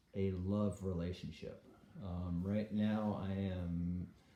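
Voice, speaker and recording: The delivery is very slow and flat, in a monotone. The tone is dark and mellow, with audible room echo. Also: man. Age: 60s. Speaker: vlogger. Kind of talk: casual monologue vlog. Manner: hesitant, many fillers.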